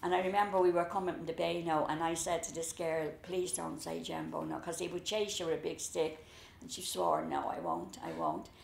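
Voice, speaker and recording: Fairly quick speech from a woman, in a room with audible echo. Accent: Dublin. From Dublin, Ireland (the Liberties). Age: 70s. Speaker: storyteller recalling childhood. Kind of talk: casual reminiscing conversation.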